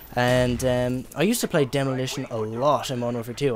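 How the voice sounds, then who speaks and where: Someone with an Irish accent speaks over noticeable background noise. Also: man. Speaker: gaming YouTuber. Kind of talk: gameplay commentary. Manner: hesitant, many fillers; casual.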